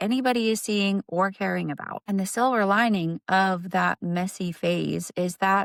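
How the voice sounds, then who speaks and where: A woman's ordinary speaking voice, medium in pitch with ordinary pitch variation and a moderate pace, dry and close with no echo, on a very clean recording with a silent background. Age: 40s. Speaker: content creator. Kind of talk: motivational pep talk.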